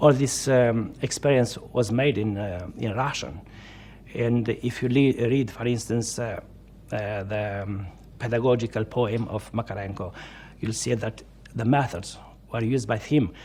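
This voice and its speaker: A man with a Romanian accent talks at a fairly slow pace, his medium pitch held in fairly even intonation. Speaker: Orthodox priest, former political prisoner. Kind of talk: interview testimony. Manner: halting, many fillers.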